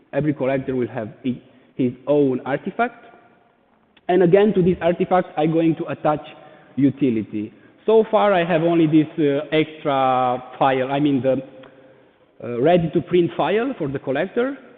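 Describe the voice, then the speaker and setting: A man with a Romanian accent, fairly high pitch for a man, lively intonation, a moderate pace, and long, frequent pauses. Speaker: NFT artist. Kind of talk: presentation. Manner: halting.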